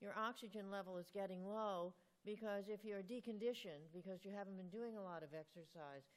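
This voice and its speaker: Someone speaks with an American accent at a moderate pace. It is a plain, everyday voice. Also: woman. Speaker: rheumatology professor answering patient questions. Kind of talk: expert Q&A answering audience.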